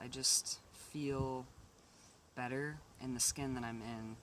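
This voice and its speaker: A man's medium-pitched voice stays monotone and flat in intonation amid noticeable background noise. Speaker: vlogger. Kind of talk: casual video update. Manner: hesitant, many fillers.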